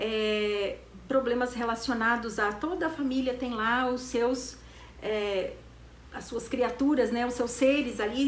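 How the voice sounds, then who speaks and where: A woman with a high pitch at a very slow pace, amid audible room echo and noticeable background noise. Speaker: therapy institute director. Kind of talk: educational talk.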